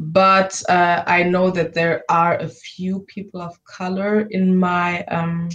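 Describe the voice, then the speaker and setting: With a German accent, a woman talks at a very slow pace and fairly low pitch. Her intonation is monotone and flat. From Germany. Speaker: university student. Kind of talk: interview. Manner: halting.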